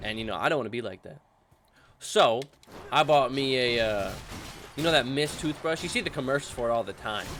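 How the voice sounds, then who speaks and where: Animated in tone, a man talks at a very fast pace with ordinary pitch variation. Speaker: gaming youtuber. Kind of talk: gameplay commentary. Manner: casual, animated.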